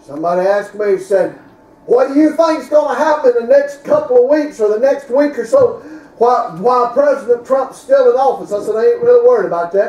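Speaking at a very fast pace, a man uses an extremely high pitch amid audible room echo. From US South. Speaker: preacher. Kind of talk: sermon. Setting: church. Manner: animated, emphatic preaching in full flow, with punchy repeated phrases. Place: church. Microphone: camera far.

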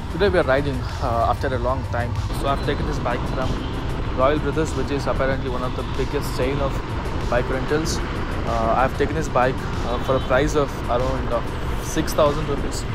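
Over music in the background, a man talks at a fairly quick pace, and the sound is dry with no echo. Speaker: motovlogger. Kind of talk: casual vlog chat. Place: motorbike. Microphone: helmet.

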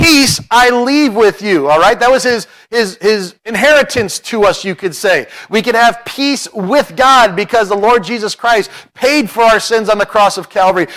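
Bright and sharp in tone, a man talks at a moderate pace. His pitch varies an ordinary amount over a quiet background. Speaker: preacher. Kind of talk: sermon. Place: church. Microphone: podium.

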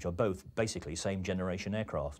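This man's voice sits fairly low in pitch and shows ordinary pitch variation. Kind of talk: interview recollection. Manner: relaxed, hesitant with fillers. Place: office. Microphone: lapel.

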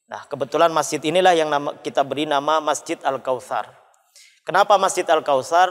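Fairly high in pitch, a man talks at a fairly quick pace in a plain, everyday voice. The background is quiet. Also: ordinary pitch variation. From Sumenep, Madura, Indonesia. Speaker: mosque manager and preacher. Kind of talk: religious panel discussion. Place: church. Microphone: lapel.

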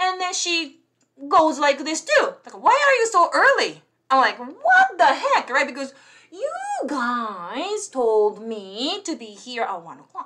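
In a raised, projected voice, a woman speaks very slowly at a high pitch with a bright, sharp tone, very wide pitch swings and big swings in loudness over a quiet background. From Japan. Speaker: English tutor and YouTuber; English tutor, YouTuber. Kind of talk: bilingual live stream chat. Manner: code-switching English and Japanese. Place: home room. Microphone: webcam.

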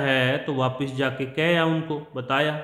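With audible room echo around him, a man talks at a fairly high pitch in a monotone, flat delivery. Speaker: English teacher. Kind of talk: lecture.

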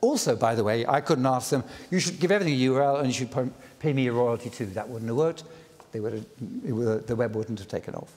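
Very fast speech from a man, full of lively intonation. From Britain. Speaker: inventor of the World Wide Web giving a lecture. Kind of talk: public lecture. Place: stage. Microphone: lapel.

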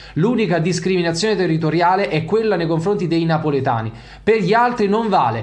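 A high-pitched man, fairly quick, with lively intonation and very even loudness against a quiet background. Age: 30s. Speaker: football YouTuber. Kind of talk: video commentary monologue. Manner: animated. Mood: indignant, heated. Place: home room. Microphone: studio mic.

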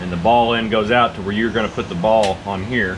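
A man speaks at a moderate pace with ordinary pitch variation. Background noise is noticeable. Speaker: garage hobbyist reviewer. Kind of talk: tutorial. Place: garage. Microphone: camera far.

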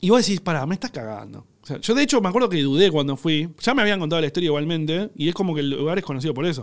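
A man's fairly high, lively voice at a very fast pace, with hardly any pauses and a quiet background. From Argentina. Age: 30s. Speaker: cook and content creator; content creator. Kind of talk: casual chat. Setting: studio. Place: studio. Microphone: studio mic.

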